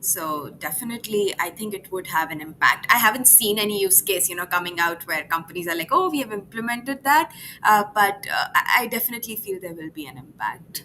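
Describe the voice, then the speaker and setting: A woman talks at a fairly quick pace with hardly any pauses, medium in pitch with lively intonation and big swings in loudness, over noticeable background noise. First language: not English. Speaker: AI product evangelist. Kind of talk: live interview.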